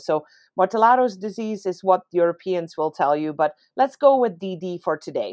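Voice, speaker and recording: A woman's medium-pitched voice in a Dutch accent, with ordinary pitch variation and a dry, close sound with no echo. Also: quiet background. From Netherlands. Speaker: veterinary professor. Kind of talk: interview.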